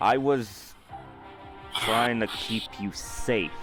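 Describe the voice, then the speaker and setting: A quiet man in a put-on character voice at a medium pitch, with clear music in the background. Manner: mumbling.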